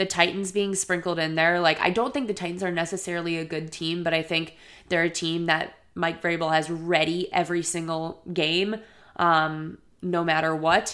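A woman with an American accent speaks at a moderate pace in a fairly low pitch, her intonation flat and monotone, on a very clean recording with a silent background. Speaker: sports podcast host. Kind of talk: casual solo podcast monologue. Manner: casual, conversational, filler words.

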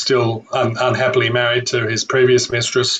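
In an Australian accent, a man speaks at a medium pitch and a moderate pace with monotone, flat intonation. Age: 50s. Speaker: author and historian. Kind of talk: interview.

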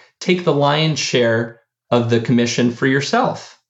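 A man speaks at a moderate pace with a General American accent. His voice is somewhat breathy. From US, of Argentine parents. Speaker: startup founder and CEO. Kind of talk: interview.

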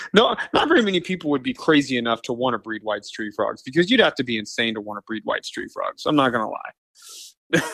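Fairly quickly and with hardly any pauses, a man with an American accent speaks in a dry, close sound with no echo. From US Midwest, Kansas City. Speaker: frog breeder. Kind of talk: casual interview.

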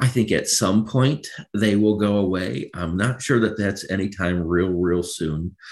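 An ordinary speaking voice from a man with an American accent, fairly low-pitched, against a quiet background. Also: ordinary pitch variation, fairly slow pace. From Michigan, Macomb County. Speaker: credit union CEO. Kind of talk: interview.

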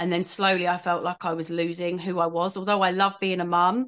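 A woman's fairly low voice with a London accent, monotone and flat in intonation, over a quiet background. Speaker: makeup artist and life coach. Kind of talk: casual interview chat.

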